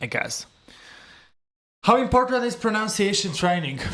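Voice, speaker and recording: Speaking with a non-native accent, a man keeps to a moderate pace. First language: not English. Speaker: English learner and video creator. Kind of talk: solo speaking practice, answering questions. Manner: halting, searching for words.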